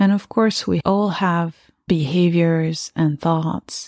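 Her voice is fairly low in pitch, with ordinary pitch variation, and she speaks at a very slow pace. The woman's recording sounds dry and close, with no echo. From France. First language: French. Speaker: podcast host and spiritual guide. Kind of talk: reflective spiritual monologue. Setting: home meditation room.

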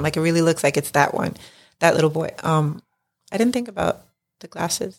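A woman talks in a New York accent at a fairly quick pace. Her pitch is fairly low. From New York City (Lower East Side). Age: 40s. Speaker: mother, friend of host. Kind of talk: casual chat.

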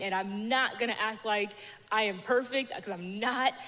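At a moderate pace, a woman speaks in an unremarkable speaking voice with a fairly high pitch. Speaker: church member sharing testimony. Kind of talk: testimony.

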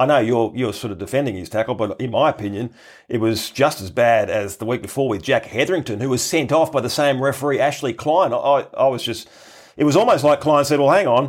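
Speaking at a fairly quick pace with an Australian accent, a man at a medium pitch shows ordinary pitch variation. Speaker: podcast host. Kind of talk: casual chat.

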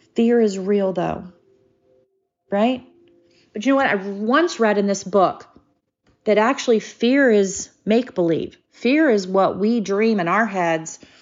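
Speech comes at a fairly slow pace, broken by long, frequent pauses, with ordinary pitch variation. Music plays in the background. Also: woman, medium pitch for a woman. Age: 50s. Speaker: podcast host. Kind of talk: personal monologue.

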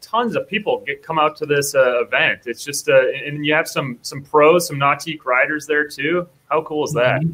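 A man with an American accent, a fairly high pitch, a bright, sharp tone, fairly even intonation and a fairly quick pace. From Minnesota (Apple Valley). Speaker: podcast co-host. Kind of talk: casual video interview.

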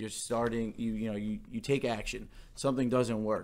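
A man speaks with an American accent at a moderate pace. His pitch sits in the middle range. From New York. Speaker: podcast co-host. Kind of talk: casual chat.

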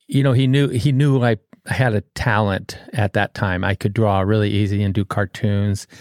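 This man has an ordinary speaking voice with an American accent, a fairly low pitch and ordinary pitch variation. His pace is moderate, his loudness very even, and the recording is very clean with a silent background. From Southern California. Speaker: muralist and sign painter. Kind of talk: casual interview chat.

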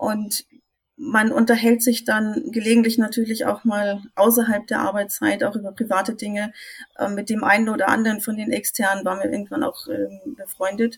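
With fairly even intonation, an ordinary speaking voice talks at a moderate pace. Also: woman, fairly high pitch for a woman. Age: 50s. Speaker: IT consultant. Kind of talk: casual chat.

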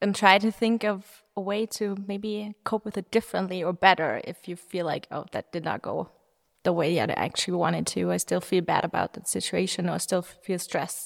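Vocal fry marks this woman's fairly even intonation at a moderate pace. The sound is dry and close with no echo, on a very clean recording with a silent background. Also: medium pitch for a woman. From Germany, Munich. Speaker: startup founder. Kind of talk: interview. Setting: conference room.

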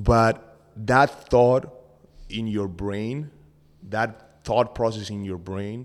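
Very clean recording with a silent background, a man with a Spanish accent, fairly low pitch, very slow pace and fairly even intonation. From Argentina. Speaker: podcast co-host. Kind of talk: casual chat.

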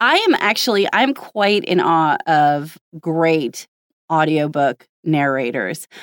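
This woman, speaking with an American accent, has a very deep, low pitch and a very slow pace. Her loudness stays very even, and the sound is dry and close with no echo. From United States. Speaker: podcast host and voiceover artist. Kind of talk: casual interview chat.

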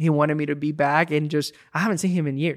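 A fairly high-pitched man with a Spanish accent talks at a fairly quick pace in a monotone, flat intonation, in a very clean recording with a silent background. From Puerto Rico. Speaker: student ministry pastor. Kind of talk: casual chat.

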